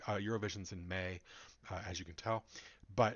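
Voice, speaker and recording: A man with an ordinary speaking voice in an American accent, at a fairly quick pace with ordinary pitch variation. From United States. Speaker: YouTuber reviewing music contest. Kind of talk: casual video reaction monologue. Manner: casual with many fillers.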